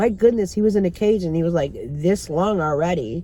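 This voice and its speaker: Here is a plain, everyday voice, a woman speaking at a moderate pace. Her pitch varies in an ordinary way. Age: 60s. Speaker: vlogger. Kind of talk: casual chat. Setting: in a car.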